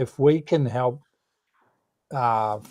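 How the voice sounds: A man speaks at medium pitch with a dark, mellow tone.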